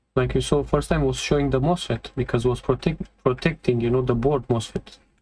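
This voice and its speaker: Speaking at a fairly quick pace with a non-native accent, the voice holds a very even loudness. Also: man. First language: not English. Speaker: electronics repair technician. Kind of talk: tutorial. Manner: halting.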